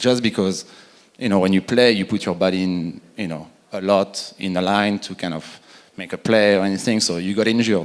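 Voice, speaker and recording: In a French accent, a man speaks at a fairly quick pace with a fairly low pitch and a monotone, flat intonation. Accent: French accent, still noticeable. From France. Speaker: retired pro soccer player. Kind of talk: conference panel discussion.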